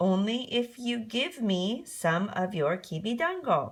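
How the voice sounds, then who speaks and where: This is a put-on character voice. It moves through very wide pitch swings. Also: woman, fairly high pitch for a woman, fairly slow pace. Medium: read story. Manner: pushy.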